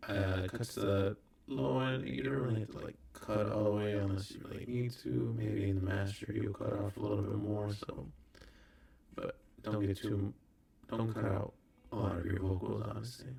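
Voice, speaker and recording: At a moderate pace, a soft-spoken man talks in a fairly low pitch with ordinary pitch variation. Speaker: recording artist. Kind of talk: tutorial. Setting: hotel room. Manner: casual.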